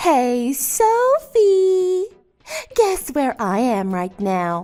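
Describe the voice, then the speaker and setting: A woman puts on a character voice, high in pitch with very wide pitch swings. She speaks at a very slow pace. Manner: cheerful, excited.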